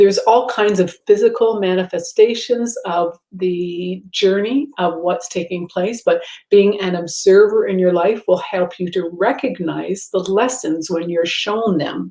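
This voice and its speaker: The woman has a medium pitch and ordinary pitch variation. She speaks at a fairly slow pace. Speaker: spiritual teacher. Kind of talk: casual monologue. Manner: hesitant, many fillers.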